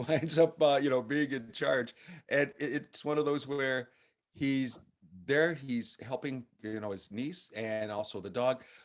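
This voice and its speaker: A man talks at a fairly slow pace. He has a normal speaking voice. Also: medium pitch for a man, ordinary pitch variation. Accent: American. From United States. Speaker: film critic. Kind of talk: interview.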